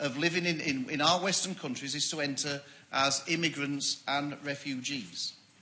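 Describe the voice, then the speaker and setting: A man with a Yorkshire accent speaks at a moderate pace in a bright, sharp tone. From Yorkshire, northern England. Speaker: member of parliament. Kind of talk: parliamentary debate speech. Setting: parliament debating chamber.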